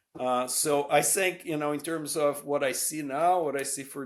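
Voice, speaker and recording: A man with a Brazilian Portuguese accent speaks fairly slowly with fairly even intonation in a very clean recording over a silent background. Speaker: professor. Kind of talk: interview. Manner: hesitant, many fillers.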